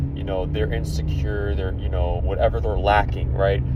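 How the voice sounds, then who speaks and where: A man with a calm tone is heard with audible room echo and noticeable background noise. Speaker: vlogger sharing personal views. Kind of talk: personal monologue. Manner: slow.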